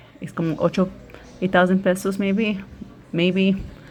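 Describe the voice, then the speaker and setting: At a moderate pace, a woman talks with a Spanish accent and a fairly low pitch. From United States, Spanish-speaking immigrant family. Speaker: YouTuber. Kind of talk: casual chat during a nail tutorial.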